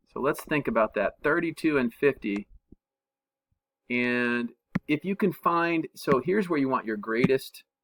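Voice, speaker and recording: A man at a fairly slow pace with long, frequent pauses and a dry, close sound with no echo. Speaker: math teacher. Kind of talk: tutorial. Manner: casual, thinking aloud with fillers.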